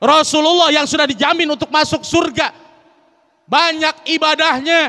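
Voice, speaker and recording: A man speaks at an extremely high pitch in a raised, projected voice. His pace is fairly slow. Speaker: Islamic preacher. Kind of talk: sermon. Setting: mosque with audience. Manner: conversational, engaging audience with questions.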